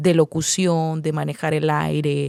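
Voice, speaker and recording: In a dry, close sound with no echo, a woman talks at a fairly slow pace. She has a Nicaraguan accent. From Nicaragua, Masaya. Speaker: radio announcer and journalist. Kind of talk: interview answer.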